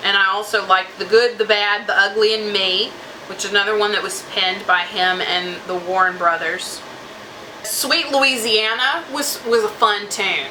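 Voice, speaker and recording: In an American accent, a woman with a medium-pitched voice and ordinary pitch variation speaks at a moderate pace, with audible room echo and noticeable background noise. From Southeast Texas. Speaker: music reviewer / YouTuber. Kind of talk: casual music review vlog. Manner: conversational, many fillers and restarts.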